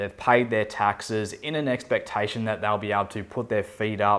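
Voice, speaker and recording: With an Australian accent, a man talks fairly fast in a fairly low voice. His intonation stays fairly even. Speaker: expat relocation adviser. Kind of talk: talking-head explainer video.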